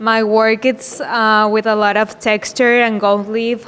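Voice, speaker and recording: Speaking very slowly with a Mexican accent, a woman uses a fairly high pitch against noticeable background noise. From Mexico. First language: Spanish. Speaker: art student. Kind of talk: self-introduction to group. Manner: halting.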